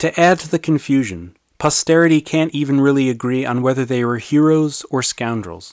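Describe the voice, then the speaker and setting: A man at a medium pitch and moderate pace, ordinary pitch variation, an ordinary speaking voice. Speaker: history podcaster and author. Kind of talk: scripted narration.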